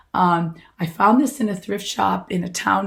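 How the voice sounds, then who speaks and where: A woman speaks at a medium pitch with vocal fry and ordinary pitch variation. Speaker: vintage fashion stylist. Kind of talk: casual talk to camera. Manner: slow.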